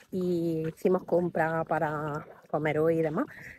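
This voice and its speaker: Quiet and dry with no echo, a woman's fairly low voice comes through over light background noise. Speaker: vlogger. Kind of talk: casual vlog talk to camera. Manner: speaking very quietly.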